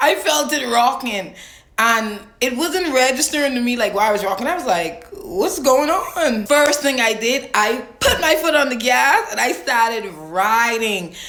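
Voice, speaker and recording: With a strong Bahamian accent, a high-pitched woman speaks at a moderate pace in an animated tone, her pitch swinging very widely amid audible room echo and noticeable background noise. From Bahamas. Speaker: storyteller vlogger. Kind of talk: casual storytime.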